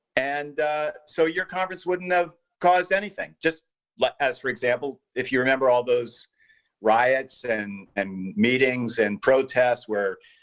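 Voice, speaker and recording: Lively in intonation, a man with a medium pitch speaks at a fairly slow pace. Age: 60s. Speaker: panelist. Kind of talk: panel discussion. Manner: animated.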